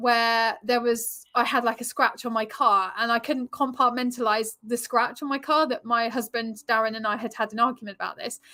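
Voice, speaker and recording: A woman with an English accent talks in a high voice with a bright, sharp tone at a moderate pace. The recording is very clean, with a silent background. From England. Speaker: relationship coach and yoga teacher. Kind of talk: interview.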